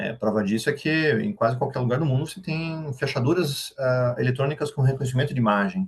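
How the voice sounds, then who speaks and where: Somewhat breathy, a man speaks at a fairly quick pace with hardly any pauses. His pitch is fairly high, with ordinary variation. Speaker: AI expert speaker. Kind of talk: workshop lecture. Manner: fast.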